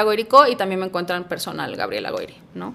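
Bright, sharp tone from a woman, her pitch varying in an ordinary way. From Mexico, Puebla. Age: 40s. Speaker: career coach. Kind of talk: casual interview chat.

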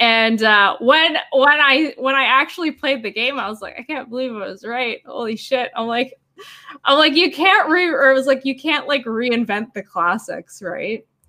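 A woman's high, raised and projected voice with a Canadian accent, lively intonation and big swings in loudness. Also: moderate pace. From Canada. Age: 30s. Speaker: cosplayer and digital artist. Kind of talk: casual chat.

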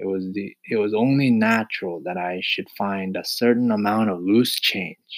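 Unforced reading with a quiet backdrop

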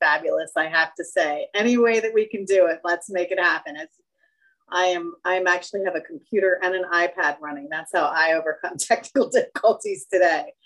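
A woman speaks in a plain, everyday voice, fairly low in pitch. Her pace is fairly quick. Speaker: podcast host. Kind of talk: group discussion moderation. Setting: video call.

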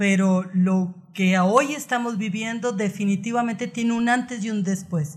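A woman with a medium-pitched, somewhat breathy voice talks at a fairly slow pace, her pitch moving in an ordinary way. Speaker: psychotherapist. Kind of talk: interview.

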